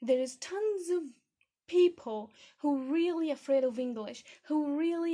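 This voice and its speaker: A woman's dark, mellow voice, high-pitched, with a non-native accent, ordinary pitch variation and a fairly slow pace. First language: not English. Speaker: podcast host, English learning. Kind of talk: podcast monologue. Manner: animated.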